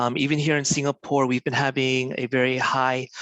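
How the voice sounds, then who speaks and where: An ordinary speaking voice with an American accent at a moderate pace. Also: man. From US-born, raised in Korea. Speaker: doctor. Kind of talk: lecture. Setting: online webinar.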